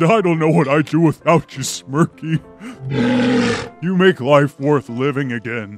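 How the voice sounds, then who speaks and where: A man talks at a moderate pace and a fairly high pitch, with clear music in the background. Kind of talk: mock-epic storytelling. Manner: pompous, melodramatic.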